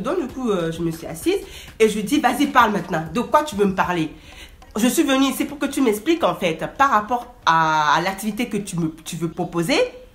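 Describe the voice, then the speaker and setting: A woman talks at a moderate pace and a medium pitch. Her intonation is lively, with noticeable background noise behind her. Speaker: vlogger. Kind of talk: storytime. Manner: animated.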